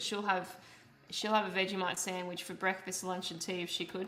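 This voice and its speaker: A woman speaks at a medium pitch with an Australian accent. Music plays in the background, and room echo is audible. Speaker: streamer and painter. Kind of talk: casual live-stream chat. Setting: live stream while painting.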